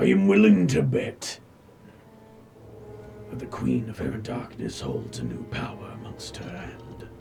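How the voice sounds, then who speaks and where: Using a put-on character voice with a fairly low pitch, a man speaks at a moderate pace with long, frequent pauses. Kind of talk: fantasy oracle speech. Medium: actual play. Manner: slow, cryptic, poetic.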